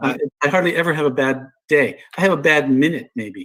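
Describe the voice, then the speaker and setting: A man speaks with a fairly high pitch. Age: 70s. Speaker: Vietnam veteran and meditation teacher. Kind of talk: casual chat.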